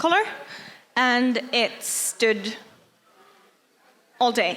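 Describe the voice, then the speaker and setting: With a Norwegian accent, a woman speaks at a very slow pace in a high pitch and a bright, sharp tone. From Norway. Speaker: cosplayer. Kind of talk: workshop talk.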